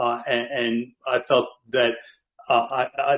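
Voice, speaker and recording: A man speaks with a strong Brooklyn accent and fairly even intonation. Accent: Brooklyn accent, heavy. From US, Brooklyn, New York. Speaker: Navy veteran and amateur radio trainer, community guest. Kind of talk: casual presentation on a community call. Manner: halting, many fillers and restarts.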